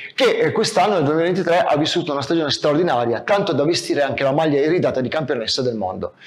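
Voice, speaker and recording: Here a man speaks at a fairly quick pace. His intonation is lively. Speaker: TV presenter. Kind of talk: TV show introduction and interview questions. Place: studio. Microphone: lapel.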